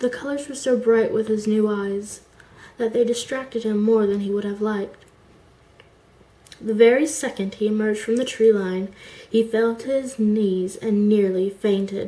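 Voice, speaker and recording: A woman's voice sits at a fairly high pitch, with a dark, mellow tone and fairly even intonation. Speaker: amateur fiction writer. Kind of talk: reading of own short story. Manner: slow.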